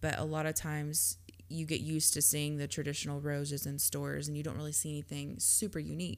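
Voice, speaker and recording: In a Southern US accent, a woman talks at a very fast pace in a very deep, low pitch with very wide pitch swings. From Georgia, US. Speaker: podcast co-host. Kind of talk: casual chat.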